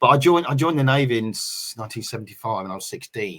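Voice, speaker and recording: Recorded very cleanly with a silent background, a man speaks in a Norfolk accent with ordinary pitch variation. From England, Norwich. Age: 60s. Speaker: navy veteran, football supporters group organiser. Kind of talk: casual interview. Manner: halting, many fillers.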